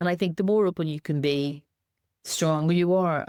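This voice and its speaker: A woman talks at a very fast pace with a strong Northern Irish accent and fairly even intonation, in a very clean recording with a silent background and a dry, close sound with no echo. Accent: Northern Irish, kept strong. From Northern Ireland. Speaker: charity chief executive, former anti-discrimination campaigner. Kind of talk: podcast interview.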